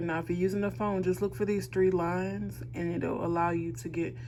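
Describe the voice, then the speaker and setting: A woman at a fairly quick pace, with audible room echo. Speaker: instructor. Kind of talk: tutorial. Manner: fast; casual.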